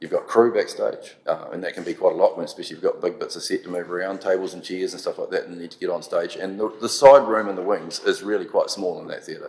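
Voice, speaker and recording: Speaking at a very fast pace with hardly any pauses, a man with a New Zealand accent swings widely in loudness. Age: 60s. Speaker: theatre audio technician. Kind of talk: public submission at council meeting.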